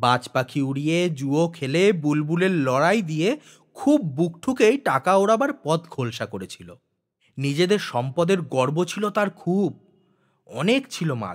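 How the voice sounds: A man's fairly high voice at a fairly slow pace, with big swings in pitch.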